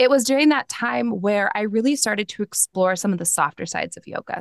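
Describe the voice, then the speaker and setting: The sound is dry and close, with no echo, over a quiet background. Pitch varies in an ordinary way. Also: woman. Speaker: yoga and meditation teacher. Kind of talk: casual interview. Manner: calm.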